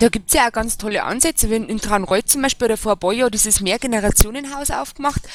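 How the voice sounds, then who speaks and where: Against a dry, close sound with no echo, a woman with an ordinary speaking voice and a fairly high pitch talks at a fairly quick pace with lively intonation. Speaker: local party official. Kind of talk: casual panel discussion. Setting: voice chat online.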